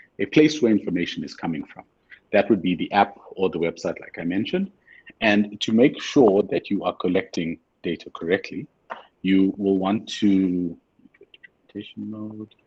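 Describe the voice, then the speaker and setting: This man's fairly low voice has ordinary pitch variation and big swings in loudness. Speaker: webinar trainer. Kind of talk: webinar tutorial. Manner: fast.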